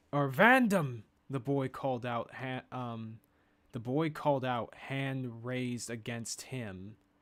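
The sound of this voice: Intonation stays fairly even. The voice is an unforced reading voice.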